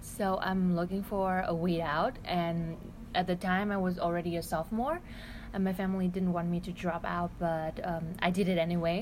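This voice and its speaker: A woman speaks in a Vietnamese accent with a fairly low pitch. Her pace is moderate and her intonation fairly even. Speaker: exchange student. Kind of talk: casual chat. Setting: restaurant.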